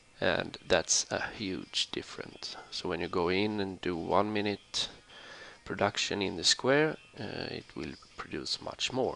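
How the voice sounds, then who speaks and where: A man's fairly low, bright, sharp voice with a non-native accent, lively intonation and a fairly slow pace. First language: not English. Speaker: gaming tutorial YouTuber. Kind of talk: tutorial. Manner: halting, many fillers.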